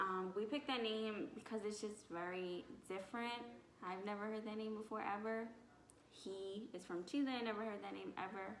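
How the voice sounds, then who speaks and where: A woman with an American accent talks in a fairly high pitch with fairly even intonation, amid noticeable background noise and audible room echo. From Philadelphia. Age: 20s. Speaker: vlogger. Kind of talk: casual chat. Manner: fast.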